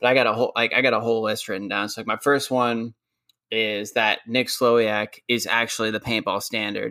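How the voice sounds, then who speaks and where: A man's medium-pitched voice with a bright, sharp tone, fairly even intonation and a moderate pace. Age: 20s. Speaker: podcast host. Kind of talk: casual chat. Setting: video call.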